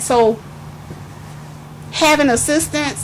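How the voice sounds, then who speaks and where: A woman's voice over noticeable background noise. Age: 50s. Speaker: grandparent sharing life story. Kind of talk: testimony. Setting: youth meeting in a hotel.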